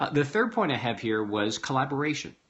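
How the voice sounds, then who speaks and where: A man speaks with ordinary pitch variation. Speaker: business coach and speaker. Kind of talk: vlog talk to camera. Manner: fast; animated.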